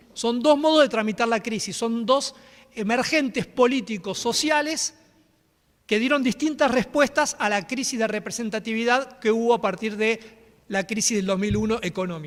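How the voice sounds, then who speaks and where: Moderate pace with ordinary pitch variation. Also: man, extremely high pitch for a man. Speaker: historian, university professor. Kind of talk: academic lecture. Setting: conference hall with audience.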